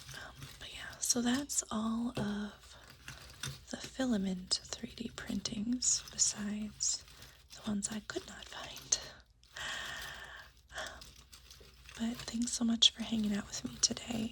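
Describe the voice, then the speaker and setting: Someone whispers very slowly, with long, frequent pauses and big swings in loudness, over noticeable background noise. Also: woman. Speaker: ASMR creator. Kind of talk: soft-spoken ASMR show-and-tell. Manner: soft-spoken; hesitant, many fillers.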